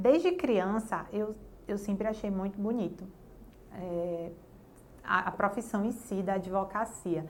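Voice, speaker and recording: A woman speaks at a fairly slow pace and medium pitch, with ordinary pitch variation and long, frequent pauses. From Bahia, Brazil (Jacobina). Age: 30s. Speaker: lawyer. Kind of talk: interview testimony.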